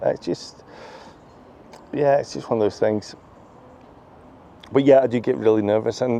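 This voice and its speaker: With a Scottish accent, a man speaks at a fairly quick pace. His pitch is medium, with ordinary pitch variation. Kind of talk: casual vlog talking to camera. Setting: outdoors in a park. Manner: stutters sometimes, gets tongue-tied; repeats himself.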